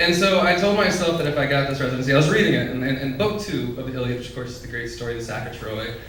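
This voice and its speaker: Speaking at a very fast pace, a fairly high-pitched man with an American accent is heard over noticeable background noise. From West Texas. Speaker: poet, writer in residence. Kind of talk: casual remarks to a live audience.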